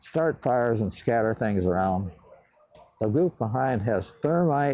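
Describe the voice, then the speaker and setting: A man with a Midwestern accent speaks at a fairly slow pace in a dark, mellow tone with lively intonation. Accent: American Midwest. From Cleveland, Ohio. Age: 80s+. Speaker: World War II bomber pilot. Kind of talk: interview answer. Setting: museum hangar.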